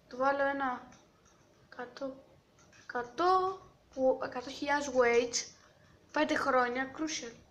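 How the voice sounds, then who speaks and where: A woman's high voice at a fairly slow pace, fairly even in intonation, with audible room echo. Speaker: gaming youtuber. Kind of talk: gameplay commentary.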